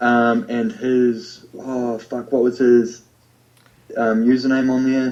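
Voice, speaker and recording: A man in a New Zealand accent, flat and monotone, at a very slow pace. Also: medium pitch for a man. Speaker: podcast co-host. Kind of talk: casual chat.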